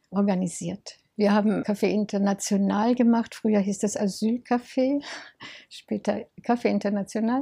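A woman's somewhat breathy, dark, mellow voice sits at medium pitch. She keeps a moderate pace and fairly even intonation. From Munich, Bavaria. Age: 80s+. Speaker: volunteer for refugees. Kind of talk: interview.

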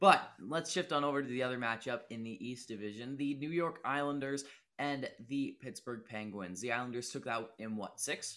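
Bright and sharp in tone, a man speaks at a moderate pace and medium pitch with ordinary pitch variation, recorded very cleanly against a silent background. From Nova Scotia, Canada. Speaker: sports podcast co-host. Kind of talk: casual chat.

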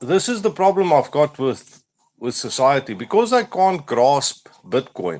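The speaker talks in a South African accent. The pitch swings very widely. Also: man. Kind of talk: casual chat. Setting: online audio space.

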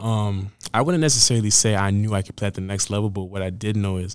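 A man talks at a very fast pace, fairly low in pitch with fairly even intonation. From Canada, Edmonton, Alberta. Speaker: college football player. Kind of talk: interview. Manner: hesitant, many fillers.

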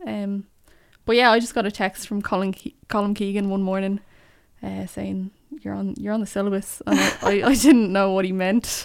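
On a very clean recording with a silent background, a woman talks with a Dublin accent. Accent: Dublin Irish. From Ireland, North Dublin. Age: 20s. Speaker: poet. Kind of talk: casual chat. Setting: studio.

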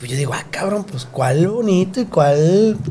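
Over noticeable background noise, a man with a high pitch talks at a moderate pace and a lively intonation. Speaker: podcast host. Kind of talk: casual chat. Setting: studio.

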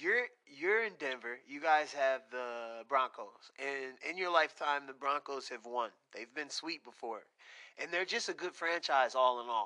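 The delivery is animated and fairly slow, with a bright, sharp tone and big swings in loudness. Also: man, fairly high pitch for a man, ordinary pitch variation. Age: 30s. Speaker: podcast host. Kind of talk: casual interview.

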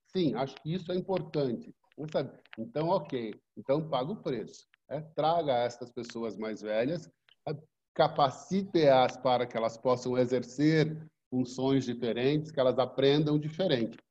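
Speaking fairly slowly, a man uses a medium-pitched, dark, mellow voice with ordinary pitch variation. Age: 60s. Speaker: business hub co-founder, former school director. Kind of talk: interview.

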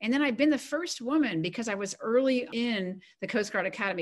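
With lively intonation and a fairly quick pace, this is an unremarkable speaking voice. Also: woman. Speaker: retired coast guard admiral and author. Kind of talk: interview.

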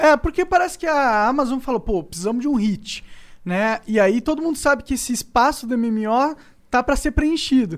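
On a very clean recording with a silent background, a man talks at an extremely high pitch. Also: lively intonation, moderate pace. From São Paulo. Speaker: podcast host. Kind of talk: casual chat.

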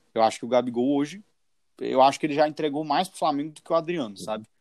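A man has an unremarkable speaking voice with a fairly high pitch and ordinary pitch variation. The recording is very clean and dry, close, with no echo and a silent background. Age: 20s. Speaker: football podcast host. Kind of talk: casual chat.

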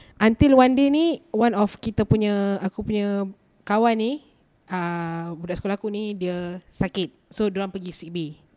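A woman's medium-pitched voice in a dark, mellow tone, with ordinary pitch variation, big swings in loudness and a moderate pace, dry and close with no echo. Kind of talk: casual chat. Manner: code-switching Malay and English.

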